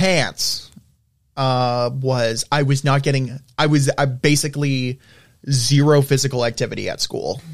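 A man with an American accent, fairly high pitch, fairly even intonation, and a fairly slow pace. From US South. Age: 20s. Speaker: college student. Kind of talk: casual chat. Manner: halting.

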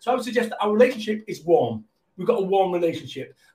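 With a Mancunian accent, a man speaks with ordinary pitch variation. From Manchester, England. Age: 50s. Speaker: motivational business speaker. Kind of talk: casual interview. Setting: live video stream. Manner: high-energy.

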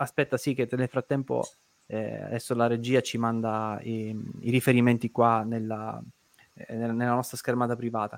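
In a dry, close recording with no echo, a man speaks at a moderate pace and medium pitch with monotone, flat intonation. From Sicily (Caltagirone). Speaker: debt-relief show host. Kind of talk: live online talk show. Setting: studio livestream.

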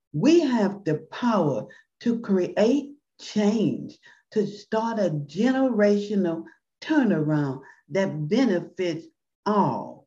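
Her tone dark and mellow and somewhat breathy, a woman at medium pitch talks very slowly with very wide pitch swings. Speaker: podcast host. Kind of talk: podcast hosting, closing prayer.

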